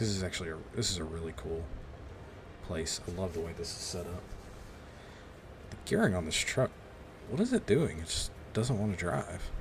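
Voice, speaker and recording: A man's very deep, low voice at a moderate pace, with long, frequent pauses and noticeable background noise. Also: ordinary pitch variation. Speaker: gaming YouTuber. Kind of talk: gameplay commentary. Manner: quieter than usual, holding back; normally loud.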